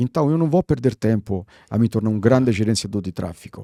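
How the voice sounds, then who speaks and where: In an Italian accent, a man speaks at a moderate pace and medium pitch with a dark, mellow tone in a dry, close sound with no echo. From Italy, Rome. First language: Italian (speaking Portuguese). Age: 60s. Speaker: branding consultant. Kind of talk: podcast interview. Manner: animated.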